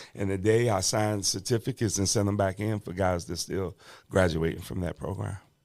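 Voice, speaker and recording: A man with a fairly low pitch and an unremarkable speaking voice. His intonation stays fairly even over a very clean recording with a silent background. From Washington DC. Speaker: bishop and reentry advocate, former prisoner. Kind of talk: podcast interview, personal testimony. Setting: podcast studio. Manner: conversational, with many fillers.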